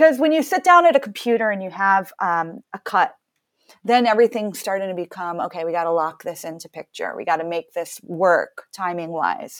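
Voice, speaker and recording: A woman with a normal speaking voice at medium pitch talks at a moderate pace with lively intonation and big swings in loudness. The sound is dry and close, with no echo. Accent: American. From US Northeast, Massachusetts. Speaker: composer and musician. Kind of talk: casual interview conversation.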